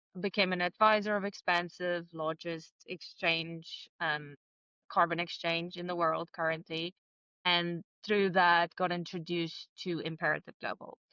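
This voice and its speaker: A woman's fairly low pitch and bright, sharp tone, flat monotone intonation, fairly slow pace, dry close sound without echo. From South Africa. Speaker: entrepreneur. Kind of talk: interview.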